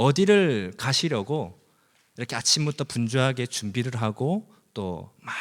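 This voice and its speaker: A man speaks at a medium pitch with very wide swings in pitch. The recording is very clean, with a silent background. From South Korea, Busan. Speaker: preacher. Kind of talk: sermon. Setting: church.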